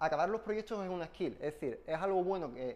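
A man talks very fast in a high voice. His pitch varies in an ordinary way. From Spain. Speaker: software engineer giving a tech talk; conference presenter. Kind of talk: technical talk with live demo. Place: meeting room.

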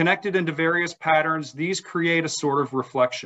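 Against a quiet background, a man speaks at a moderate pace. His voice is fairly high in pitch. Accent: American. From South Carolina. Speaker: museum executive director and event host; event host. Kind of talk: formal introduction and Q&A moderation. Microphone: video call.

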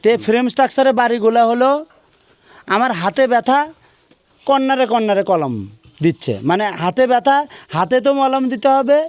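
A man's extremely high-pitched voice holds very even loudness and ordinary pitch variation. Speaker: civil engineer presenting building projects. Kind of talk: on-site video tour and sales pitch.

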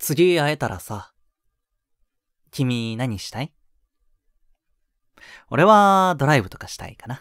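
A man's put-on character voice, fairly bright in tone, with big pitch swings, a slow pace and long, frequent pauses, in a very clean recording with a silent background and a dry, close sound with no echo. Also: medium pitch for a man.

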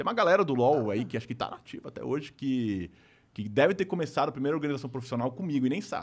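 A man's very fast, lively speech edged with vocal fry. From Brazil. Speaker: YouTuber. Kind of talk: casual chat. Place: studio. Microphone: studio mic.

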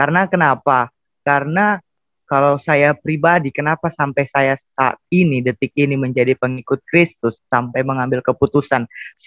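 At a moderate pace, a man with a fairly high voice speaks with fairly even intonation in a dry sound with no echo and a quiet background. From Indonesia, Central Sulawesi (Palu), Bugis family; Central Sulawesi, Indonesia. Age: 20s. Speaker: seminary student, convert; guest. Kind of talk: testimony. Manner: halting. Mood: earnest, emotional testimony. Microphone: earbuds.

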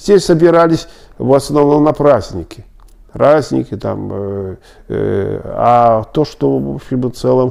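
A man talks at a very slow pace. The background is quiet. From Belarus, Smilovichi near Minsk; Belarus. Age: 70s. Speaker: Belarusian Tatar elder interviewee; interviewee. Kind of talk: oral history interview. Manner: halting, many filler sounds. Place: office.

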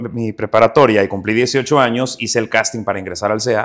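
At a fairly quick pace, a man with a Juárez accent speaks at a medium pitch with fairly even intonation. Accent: northern Mexican, Juárez accent kept. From northern Mexico, Ciudad Juárez, Chihuahua. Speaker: actor. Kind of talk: interview.

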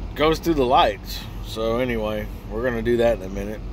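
A man speaks at a fairly slow pace. The sound is dry with no echo, over light background noise. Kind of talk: casual vlog chat. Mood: relaxed, amused. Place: car. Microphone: phone near.

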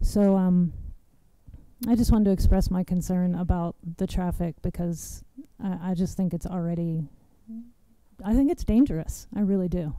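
Soft-spoken and fairly low-pitched, a woman with a dark, mellow tone leaves long, frequent pauses. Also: ordinary pitch variation, moderate pace.

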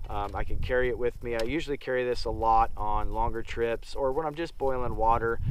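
A man speaks at a moderate pace in a dry sound with no echo. Loud background noise runs underneath. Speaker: outdoor gear reviewer. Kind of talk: casual gear review talk. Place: open country.

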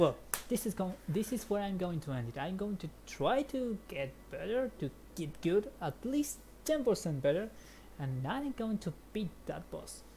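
At a moderate pace, a woman speaks at a medium pitch with very wide pitch swings and vocal fry. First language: Spanish. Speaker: gaming streamer. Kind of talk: let's play commentary. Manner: animated.

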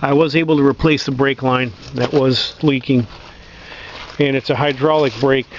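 A man speaks at a fairly slow pace with fairly even intonation. The sound is dry with no echo, over light background noise. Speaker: tractor owner doing repair. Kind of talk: casual explanatory walkaround. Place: open country. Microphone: phone near.

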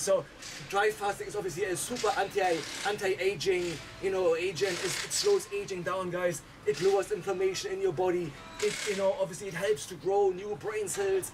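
At a moderate pace, a man talks in a high pitch with fairly even intonation over noticeable background noise. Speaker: host of a mindset channel. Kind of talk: casual vlog chat. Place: garden. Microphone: phone near.

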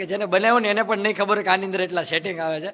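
A man speaks in a raised, projected voice with fairly even intonation. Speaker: YouTube vlogger. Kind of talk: casual vlog. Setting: event venue.

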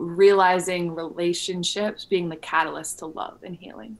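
In an ordinary speaking voice, a woman talks with an American accent at a fairly low pitch, fairly slow pace and fairly even intonation. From Illinois, US Midwest. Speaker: wellness entrepreneur and coach; podcast guest. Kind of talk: casual interview. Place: home room. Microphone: studio mic.

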